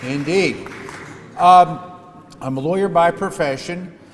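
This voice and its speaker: A man with ordinary pitch variation, heard over noticeable background noise. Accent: American. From US Northeast and Midwest. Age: 60s. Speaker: politician. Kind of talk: speech.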